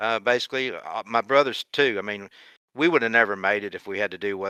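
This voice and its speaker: A man speaks close to the mic in a dry sound with no echo. His fairly low voice has a bright, sharp tone. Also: very clean recording, silent background. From Kentucky, US. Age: 60s. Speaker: retired racing driver. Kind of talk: podcast interview.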